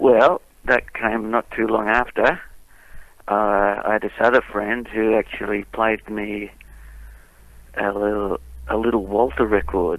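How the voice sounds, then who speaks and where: Speaking with an Australian accent, a man moves at a fairly slow pace with long, frequent pauses and fairly even intonation. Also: fairly low pitch for a man. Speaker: blues musician. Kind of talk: interview.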